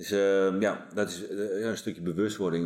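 With fairly even intonation, this man talks at a moderate pace. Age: 40s. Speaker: police team leader and performance coach. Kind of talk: casual chat. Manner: halting.

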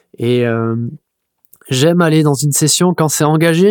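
Moderate pace and ordinary pitch variation in a very clean recording with a silent background, dry and close with no echo. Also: man. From Mimizan, Landes, southwest France. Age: 30s. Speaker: professional surfer. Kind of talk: casual interview. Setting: studio. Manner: hesitant, many repetitions.

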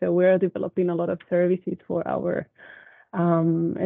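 In a Spanish accent, a woman with a fairly low pitch talks at a moderate pace, her intonation monotone and flat. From Spain. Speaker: university HR staff. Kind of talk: casual chat. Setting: video call.

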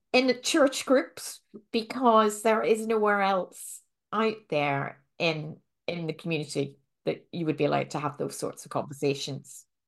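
Very wide pitch swings and vocal fry at a fairly slow pace. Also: woman. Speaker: podcast host, vet and minister. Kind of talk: casual interview chat.

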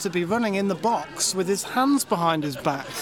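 Noticeable background noise beneath speech at a moderate tempo. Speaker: podcast host. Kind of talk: casual banter.

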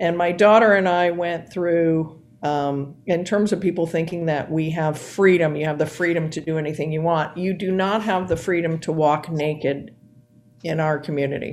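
At a moderate pace, a woman talks in a normal speaking voice, fairly low in pitch, with fairly even intonation. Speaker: volunteer club member. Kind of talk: casual interview.

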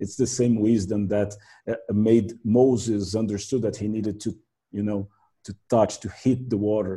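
Delivered at a moderate pace with a Portuguese accent, the voice is somewhat breathy, dark and mellow in tone, and monotone and flat. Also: man, fairly low pitch for a man. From Brazil. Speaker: translator and minister. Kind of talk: casual interview.

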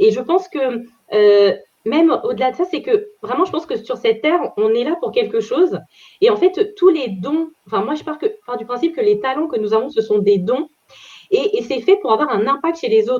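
This woman talks at a moderate pace. Her pitch is high and swings very widely. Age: 30s. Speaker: career change coach. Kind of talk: interview. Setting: video call.

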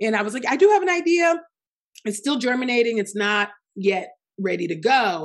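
A woman with a fairly high pitch and very wide pitch swings, at a fairly quick pace with long, frequent pauses. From Nigeria. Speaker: author and podcaster. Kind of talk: interview.

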